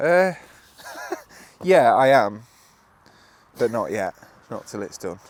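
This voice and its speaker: A man with an English accent speaks at a very slow pace, his medium pitch swinging very widely and his loudness rising and falling sharply. Long, frequent pauses break up his speech, and noticeable background noise sits behind it. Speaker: builder. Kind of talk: casual chat. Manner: downbeat.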